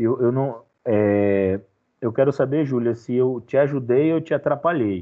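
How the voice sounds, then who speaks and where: This man has an ordinary speaking voice, medium in pitch with ordinary pitch variation. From Bahia, Brazil (Feira de Santana). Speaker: history teacher. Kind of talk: online class.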